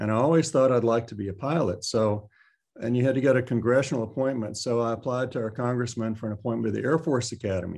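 With a Texan accent, a man talks at a very fast pace at a medium pitch with ordinary pitch variation, over a quiet background. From central Texas (Taylor). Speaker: retired orthopaedic surgeon. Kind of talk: interview.

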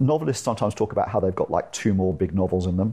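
A man speaks with a British accent. His voice is fairly low in pitch with a dark, mellow tone. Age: 40s. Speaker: tech entrepreneur and angel investor. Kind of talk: interview. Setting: in person at the guest's home.

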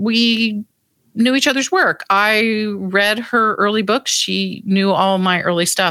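A woman speaks at a fairly slow pace with ordinary pitch variation and a plain, everyday voice. The sound is dry and close, with no echo. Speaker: historian and author. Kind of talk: interview recollection.

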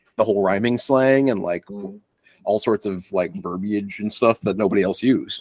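Here a man's voice is fairly low, with ordinary pitch variation at a moderate pace. The sound is dry and close, with no echo. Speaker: podcast co-host. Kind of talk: casual chat.

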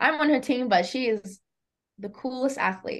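A woman with an Australian accent, lively intonation and a moderate pace, against a quiet background. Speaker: college athlete. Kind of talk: casual chat. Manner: chatty.

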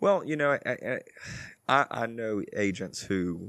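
A man with an American accent is heard in a very clean recording with a silent background, the sound dry and close with no echo. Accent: south Louisiana Cajun-tinged Southern US. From Louisiana. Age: 20s. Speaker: real estate agent. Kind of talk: casual interview. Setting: porch studio.

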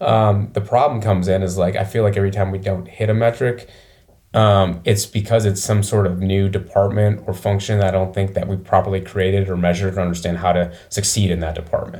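A somewhat breathy voice with a dark, mellow tone, monotone, flat intonation, an American accent and a fairly quick pace. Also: man. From Michigan, small town near Flint. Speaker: business owner. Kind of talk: interview.

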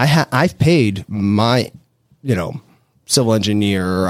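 A man with an unremarkable speaking voice, fairly low in pitch, at a fairly slow pace, with a dry, close sound with no echo on a very clean recording with a silent background. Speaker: real estate developer. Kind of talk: casual interview. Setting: studio.

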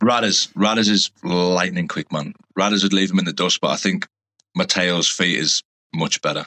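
Moderate-paced male speech, dry and close with no echo. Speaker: professional rugby player. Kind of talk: interview.

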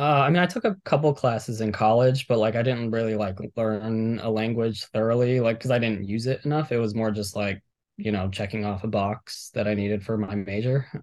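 This man uses a plain, everyday voice at medium pitch, talking at a fairly quick pace with ordinary pitch variation and hardly any pauses. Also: quiet background. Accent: American. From Miami, Florida. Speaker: professional fantasy sports player. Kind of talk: casual interview. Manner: many fillers and restarts.

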